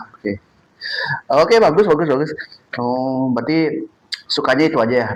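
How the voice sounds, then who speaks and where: Lively in intonation, a man with a fairly high voice talks at a fairly quick pace. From Bali (Denpasar, Buleleng family). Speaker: podcast interviewer. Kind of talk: casual interview chat.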